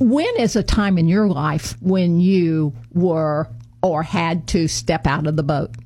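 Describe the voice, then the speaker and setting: Over noticeable background noise, a woman with an American accent talks at a very slow pace, her loudness very even and her pitch variation ordinary. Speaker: radio host. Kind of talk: interview. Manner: halting with fillers.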